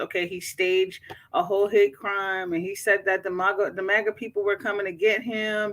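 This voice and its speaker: In a very clean recording with a silent background, a woman speaks at a moderate pace and a medium pitch. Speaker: YouTube live streamer. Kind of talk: casual live stream chat. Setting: at work, live stream. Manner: subdued, kept down.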